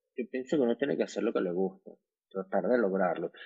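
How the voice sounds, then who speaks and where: The man's fairly quick delivery, in an ordinary speaking voice, shows ordinary pitch variation. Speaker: beauty salon entrepreneur. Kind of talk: casual chat. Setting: at home.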